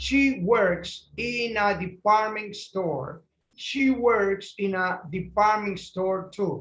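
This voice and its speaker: A very slow, high-pitched man's voice in a Spanish accent, with ordinary pitch variation. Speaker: English teacher. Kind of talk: lesson reading aloud for repetition.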